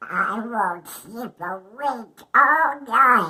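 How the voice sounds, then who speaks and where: Putting on a character voice, a female-sounding speaker talks at a fairly high pitch. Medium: read story.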